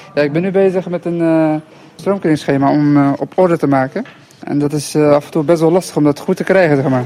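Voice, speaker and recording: Against noticeable background noise, a man with a fairly high pitch talks very fast. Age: 20s. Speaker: trainee electrician. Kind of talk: field interview. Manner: halting.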